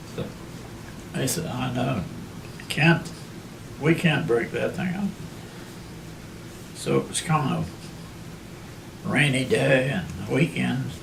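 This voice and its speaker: The speaker, in a western Pennsylvania accent, talks at a fairly slow pace with long, frequent pauses. Noticeable background noise and audible room echo surround the voice. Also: man. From Armstrong County, Pennsylvania. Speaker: oral history narrator. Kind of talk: oral history interview.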